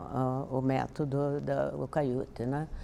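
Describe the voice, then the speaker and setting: A woman speaks at a very slow pace. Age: 80s+. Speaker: yoga student, retired university professor. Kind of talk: testimonial interview. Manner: halting, with restarts and fillers.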